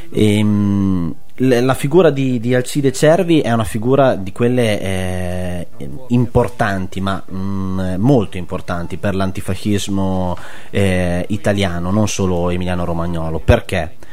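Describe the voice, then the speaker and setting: A man with a fairly low voice speaks at a fairly slow pace. His pitch varies in an ordinary way over noticeable background noise. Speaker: web radio host. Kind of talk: radio talk show, conversational. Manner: hesitant, filler-heavy.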